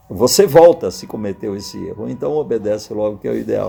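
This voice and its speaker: Noticeable noise sits behind the speech. The male speaker's voice is pitched in the middle range. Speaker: pastor and preacher, retired air force colonel. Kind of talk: sermon / Bible teaching to camera.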